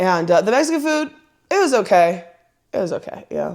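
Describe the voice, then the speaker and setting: The speaker has a strong West Coast accent and an animated tone. The pace is fairly quick, with very wide pitch swings. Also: woman. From Southern California. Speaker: podcast host. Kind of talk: casual chat.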